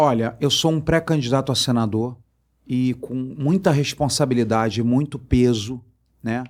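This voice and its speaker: A man with a Rio de Janeiro accent speaks at a medium pitch and a fairly slow pace, using ordinary pitch variation. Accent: carioca. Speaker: politician and fish businessman. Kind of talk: interview. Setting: studio.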